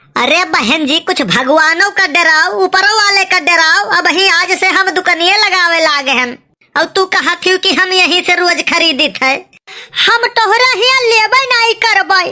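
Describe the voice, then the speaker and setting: A woman's cartoonish character voice, extremely high in pitch, with lively intonation at a moderate pace. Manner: gruff, argumentative.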